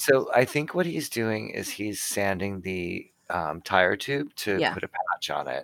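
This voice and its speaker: With a Canadian accent, a man talks at a fairly slow pace in an ordinary speaking voice, his fairly low pitch carrying lively intonation. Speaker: podcast co-host discussing a TV show rewatch. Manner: casual, conversational.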